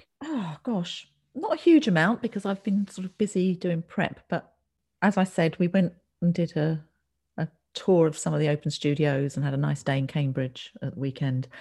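A woman with an English accent speaks at a moderate pace with lively intonation. Her fairly low voice is somewhat breathy, with a dark, mellow tone. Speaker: textile artist, podcast co-host. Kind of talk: casual chat.

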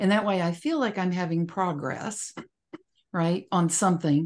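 Against a quiet background, a woman with a fairly low voice speaks at a moderate pace with ordinary pitch variation in an unremarkable speaking voice. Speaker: podcast moderator. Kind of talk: casual chat.

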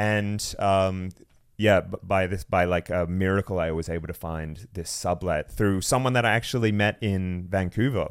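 A man with an Australian accent speaks at a moderate pace. His very deep, low voice keeps a fairly even intonation. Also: very clean recording, silent background. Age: 30s. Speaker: content creator. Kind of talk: casual chat. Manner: sarcastic, joking.

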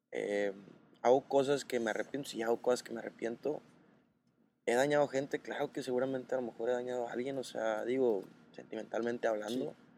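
An unremarkable speaking voice from a man at medium pitch, with fairly even intonation and a fairly quick pace. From Mexico, Sinaloa (Los Mochis). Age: 20s. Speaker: content creator. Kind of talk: casual chat. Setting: café in Mérida.

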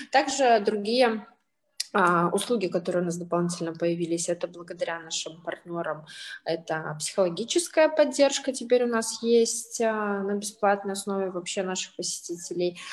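Using lively intonation, a woman with medium pitch and a plain, everyday voice talks at a moderate pace. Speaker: social entrepreneur, senior centre representative. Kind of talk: panel discussion.

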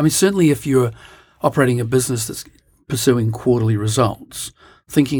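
A man with a medium-pitched, somewhat breathy voice talks at a very fast pace. His pitch varies in an ordinary way. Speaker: podcast co-host. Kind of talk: casual chat. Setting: studio.

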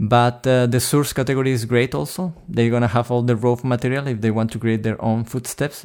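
A man speaks at a medium pitch and a fairly quick pace with a Spanish accent. The recording is very clean, with a silent background. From Chile. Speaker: sound designer. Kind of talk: interview.

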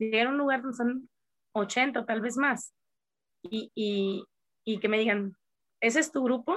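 In a dry, close recording with no echo, a woman speaks fairly slowly at a fairly high pitch, with ordinary pitch variation and long, frequent pauses. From Mexico, Coahuila. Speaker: karate teacher. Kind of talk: interview.

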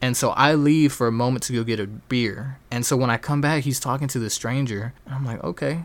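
A man's plain, everyday voice, medium in pitch, with fairly even intonation, a fairly quick pace and hardly any pauses. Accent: American. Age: 20s. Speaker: podcast host. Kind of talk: casual monologue.

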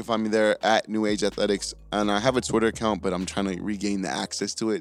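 Music plays in the background. A man with a fairly low pitch talks at a very fast pace. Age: 20s. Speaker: strength coach and podcast host. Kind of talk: casual chat. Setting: studio.

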